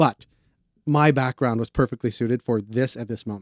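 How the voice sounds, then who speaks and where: Here is a man with a normal speaking voice, an American accent and a medium pitch. He speaks at a fairly quick pace with fairly even intonation, and the sound is dry and close with no echo. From Boston. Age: 40s. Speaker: cannabis publication cofounder. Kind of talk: casual interview. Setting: studio.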